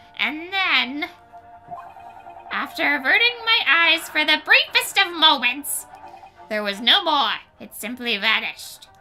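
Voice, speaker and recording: Over faint music in the background, a put-on character voice moves at a fairly slow pace with long, frequent pauses. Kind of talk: comic overacting. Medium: game stream. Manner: pompous, archaic and flowery.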